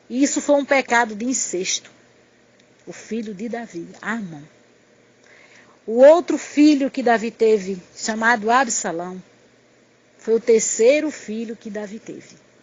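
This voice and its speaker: A woman with a fairly high, somewhat breathy voice speaks at a fairly slow pace with ordinary pitch variation. She leaves long, frequent pauses. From Pernambuco, northeastern Brazil. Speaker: missionary preacher. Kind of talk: sermon. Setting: recorded audio message.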